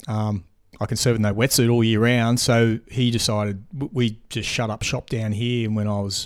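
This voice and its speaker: The speaker has an Australian accent and talks at a moderate pace. The recording is very clean, with a silent background. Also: man. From Australia, Queensland. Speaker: big wave surfer. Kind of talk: casual chat. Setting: host's home.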